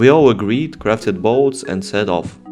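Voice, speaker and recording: Music in the background behind a man talking at a moderate pace with lively intonation. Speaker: gaming YouTuber. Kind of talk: gameplay narration voiceover.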